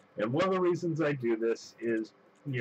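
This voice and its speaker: Over noticeable background noise, a man speaks at a moderate pace and medium pitch. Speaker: gaming video creator. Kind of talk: gameplay commentary. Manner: halting, many fillers.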